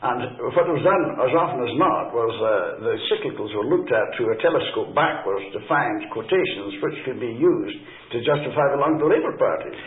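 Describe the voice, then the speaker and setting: With a Scottish accent, a man talks at a fairly quick pace over noticeable background noise and audible room echo. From Scotland. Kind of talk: interview. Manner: halting, many fillers.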